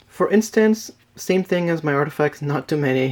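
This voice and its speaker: Recorded very cleanly with a silent background, a man with a non-native accent speaks at a moderate pace in a fairly high pitch. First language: not English. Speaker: card game deck reviewer. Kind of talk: tutorial. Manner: casual, with fillers.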